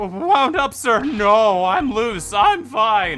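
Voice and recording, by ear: Over clear background music, a man puts on a shrill, high-pitched character voice, speaking at a very slow pace with lively intonation.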